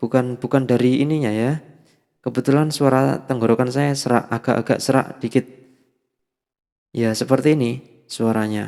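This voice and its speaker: Pausing long and often, a man talks at a moderate pace with medium pitch and monotone, flat intonation. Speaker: audio gear youtuber. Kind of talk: product demo. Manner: casual, filler-heavy. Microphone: cheap dynamic mic through sound card with effects.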